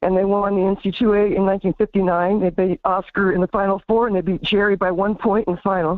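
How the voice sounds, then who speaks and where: Speaking at a very fast pace with hardly any pauses, a woman keeps a monotone, flat intonation and very even loudness. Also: medium pitch for a woman. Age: 60s. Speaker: caller. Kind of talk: casual chat. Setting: phone call. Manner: halting. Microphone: fuzzy connection.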